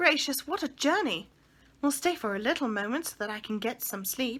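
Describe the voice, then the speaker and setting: In a put-on character voice, a woman goes shrill and high in pitch with very wide pitch swings at a moderate pace, on a very clean recording with a silent background. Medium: read story.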